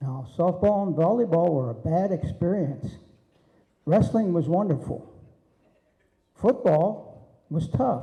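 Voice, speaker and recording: In a room with audible echo, a high-pitched man with a dark, mellow tone speaks very slowly and with lively intonation, leaving long, frequent pauses. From Pennsylvania, Allegheny Mountains. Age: 80s+. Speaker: wrestling referee. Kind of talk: acceptance speech. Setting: banquet hall with audience.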